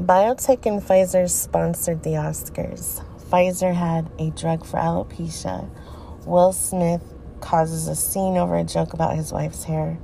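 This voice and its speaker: Fairly slow speech from a woman, under noticeable background noise. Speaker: podcaster. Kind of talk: reading aloud social media posts with commentary. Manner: informal, addressing listeners directly.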